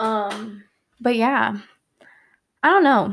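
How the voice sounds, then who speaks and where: A woman with an American accent talks at a fairly high pitch. She goes at a very slow pace with ordinary pitch variation. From Virginia (Hampton Roads, 757). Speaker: podcast host, college student. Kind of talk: casual solo monologue. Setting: home, living room. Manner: rambling, conversational.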